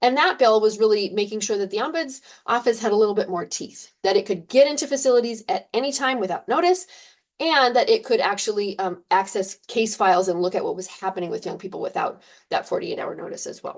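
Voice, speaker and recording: A woman talks at a very fast pace with a fairly high pitch. Her pitch swings very widely over a quiet background. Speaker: policy presenter. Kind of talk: webinar presentation. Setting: video call.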